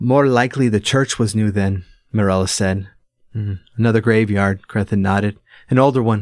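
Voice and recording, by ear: Reading aloud in a natural voice, with ordinary pitch variation. The background is quiet.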